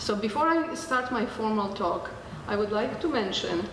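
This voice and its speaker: Noticeable background noise and audible room echo surround this woman's voice. She has a medium pitch and lively intonation. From Poland. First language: Polish. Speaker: children's advocate and doctor of Oriental medicine. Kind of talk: seminar talk.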